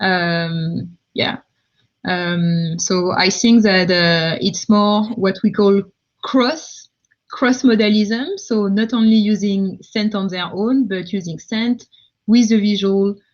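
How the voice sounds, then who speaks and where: A woman speaks very slowly in a French accent, her voice somewhat breathy. Her pitch is medium, with ordinary variation. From France, countryside. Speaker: tech founder, multisensory designer. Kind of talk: live Q&A. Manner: halting, many fillers.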